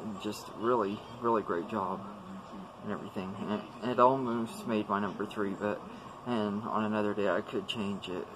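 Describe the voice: Moving at a moderate pace, a man keeps his intonation fairly even and his pitch fairly low.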